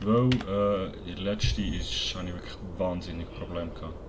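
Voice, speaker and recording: A man talks in a fairly low pitch. Noticeable background noise runs under his voice. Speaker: gaming YouTuber. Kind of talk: casual let's play commentary.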